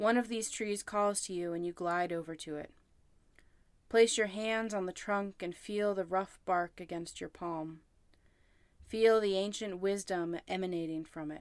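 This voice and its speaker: A woman speaks in a normal speaking voice at medium pitch, fairly slowly and with fairly even intonation, on a very clean recording with a silent background. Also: big swings in loudness. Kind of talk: guided meditation. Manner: slow, calm, soothing, with long pauses.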